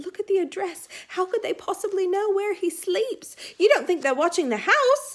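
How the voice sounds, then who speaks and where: A woman performs a squeaky put-on character voice at an extremely high pitch. Her intonation is lively and her pace is moderate. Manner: anxious, frightened.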